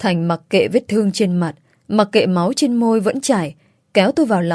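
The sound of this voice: Someone reads in an unforced voice, and the background stays quiet.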